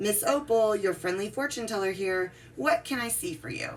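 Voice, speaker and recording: A woman's soft-spoken, raspy put-on character voice, gentle in tone and medium in pitch, with very wide pitch swings, at a moderate pace over clear background noise. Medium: read story. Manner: gentle, motherly.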